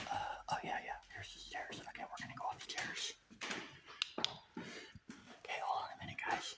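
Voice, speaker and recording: Whispering at a moderate pace, the speaker is heard over noticeable background noise. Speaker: urban explorer vlogger. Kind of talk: walkthrough vlog narration. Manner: hesitant, filler-heavy.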